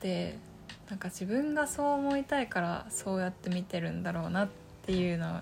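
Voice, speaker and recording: At a moderate pace, the speaker sounds somewhat breathy. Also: woman. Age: 20s. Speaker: podcaster. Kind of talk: casual solo talk. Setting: home room. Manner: halting.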